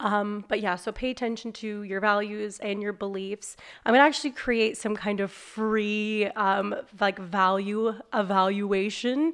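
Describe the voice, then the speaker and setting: A woman's medium-pitched voice at a fairly slow pace, fairly even in intonation, in a very clean recording with a silent background. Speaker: business owner and life coach. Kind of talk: casual chat. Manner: loud.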